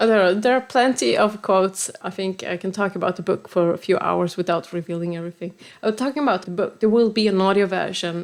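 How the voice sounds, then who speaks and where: A woman with a Swedish accent talks at a very fast pace in a very clean recording with a silent background. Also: medium pitch for a woman, ordinary pitch variation, hardly any pauses. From Sweden. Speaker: software developer and author. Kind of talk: podcast interview.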